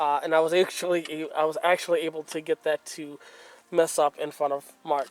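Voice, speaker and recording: Noticeable background noise can be heard. The talking proceeds at a moderate speed. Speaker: car restoration video maker. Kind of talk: tutorial. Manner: casual, many fillers.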